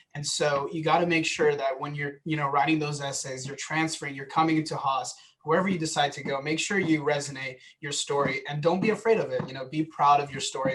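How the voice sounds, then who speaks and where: Speaking fairly quickly with an American accent, a man keeps his intonation fairly even at a fairly high pitch. Noticeable background noise runs underneath. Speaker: transfer student panelist. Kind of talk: panel talk.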